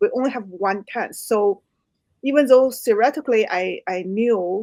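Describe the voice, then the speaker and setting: A woman with a Chinese accent. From China. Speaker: author. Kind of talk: interview.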